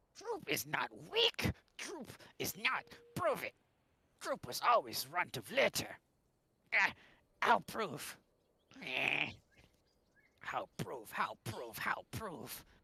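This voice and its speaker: In a raspy, put-on character voice, the speaker goes at a very slow pace with long, frequent pauses. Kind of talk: broken, primitive speech. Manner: yelling, arguing.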